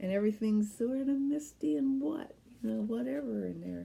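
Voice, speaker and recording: In a dark, mellow tone, a woman talks at a fairly slow pace. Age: 70s. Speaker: knitting podcast host. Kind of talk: casual chat.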